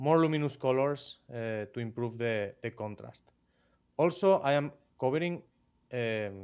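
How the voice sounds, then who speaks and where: A man with a Spanish accent and a medium pitch speaks at a fairly slow pace with lively intonation and long, frequent pauses, the background quiet. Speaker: miniature painter. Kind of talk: live stream tutorial. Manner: halting.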